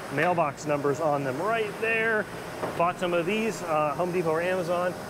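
A man keeps a moderate pace and ordinary pitch variation as noticeable background noise runs underneath. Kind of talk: walkthrough tutorial. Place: factory. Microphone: phone near.

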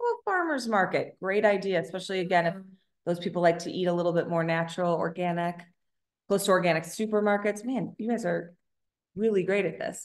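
With an American accent, a woman speaks very fast and with fairly even intonation against a quiet background. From Chicago. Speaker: business consultant, co-founder; presenter. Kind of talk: webinar presentation. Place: home room. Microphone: webcam.

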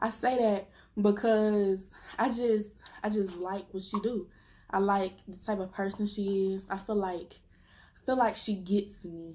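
At a fairly slow pace, a woman speaks with long, frequent pauses in a dark, mellow, somewhat breathy tone and fairly even intonation. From US South (Memphis). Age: 20s. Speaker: YouTuber. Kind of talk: casual Q&A vlog. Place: home room.

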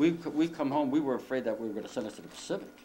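Light background noise sits behind a man talking at a very fast pace with very wide pitch swings. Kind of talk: interview answer. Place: home room. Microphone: camera far.

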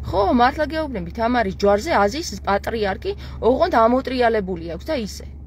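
At a moderate pace, a woman speaks in an animated tone over light background noise, the sound dry with no echo. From Georgia. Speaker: live streamer. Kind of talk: livestream monologue. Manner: animated, heated. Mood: insistent, opinionated. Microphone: earbuds.

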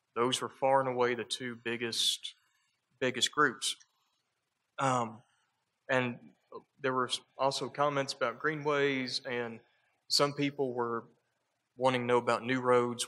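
A man's medium-pitched voice at a moderate pace, flat and monotone, with long, frequent pauses. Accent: Southern US. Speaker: transportation planner presenting. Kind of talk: public meeting presentation. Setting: community meeting room.

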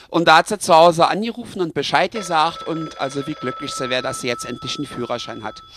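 Speaking fairly quickly with lively intonation in a Berlin accent, the voice sounds dry and close with no echo. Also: man. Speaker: comedy storyteller. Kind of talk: comic story narration. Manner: casual, chatty.

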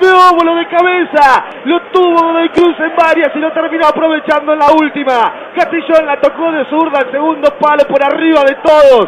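The speech moves at a moderate pace with hardly any pauses, over noticeable background noise. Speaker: radio football commentator. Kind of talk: live sports commentary.

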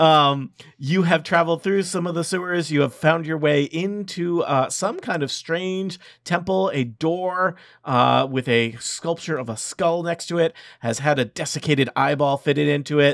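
An ordinary speaking voice, a man's, sits fairly high in pitch and moves at a moderate pace with ordinary pitch variation, the sound dry with no echo against a quiet background. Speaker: dungeon master running a tabletop game. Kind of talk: tabletop role-playing game narration and banter. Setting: online recording with remote players. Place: home room.

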